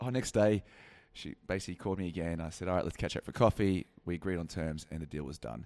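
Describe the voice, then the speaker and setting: Very fast, a man talks in an Australian accent with a very deep, low pitch. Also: ordinary pitch variation. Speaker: podcast co-host, business content creator. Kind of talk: casual banter chat. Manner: teasing, playful, laughing.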